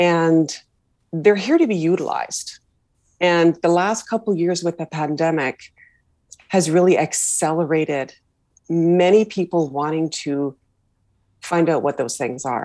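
A woman with a western Canadian accent speaks at a fairly slow pace with long, frequent pauses, a fairly low pitch, ordinary pitch variation and a dark, mellow tone. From Canada, Vancouver. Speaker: leadership coach. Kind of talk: interview conversation. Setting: video call.

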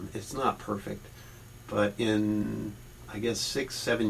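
A man at a fairly low pitch and fairly slow pace, with noticeable background noise. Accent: Midwestern US. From Ohio, Barberton near Akron. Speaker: deacon and professor. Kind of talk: interview.

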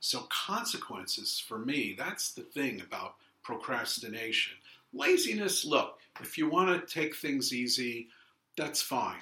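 A man with a Brooklyn accent and very wide pitch swings. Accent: New York (Brooklyn). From Brooklyn, New York. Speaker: author. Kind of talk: casual interview chat.

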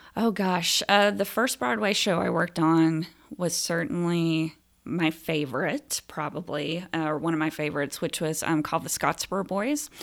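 A woman with an American accent and a plain, everyday voice speaks at a moderate pace, her fairly low pitch showing ordinary variation, in a very clean recording with a silent background. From US South, Phenix City, Alabama. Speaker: theater director. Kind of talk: casual interview.

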